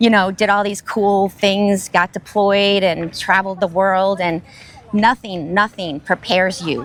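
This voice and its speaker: Speaking at a fairly slow pace, a woman keeps her intonation fairly even. Her pitch is medium. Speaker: retired army sergeant and nonprofit ambassador. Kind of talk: interview. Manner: loud.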